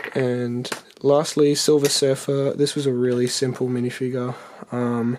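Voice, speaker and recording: An Australian accent at a moderate pace, with noticeable background noise. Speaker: custom toy figure maker. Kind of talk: tutorial. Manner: hesitant, many fillers.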